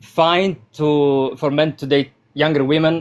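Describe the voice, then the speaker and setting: The speaker is a man with a non-native accent. His pitch is fairly high. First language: not English. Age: 20s. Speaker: caller. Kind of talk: call-in discussion. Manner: halting, hesitant.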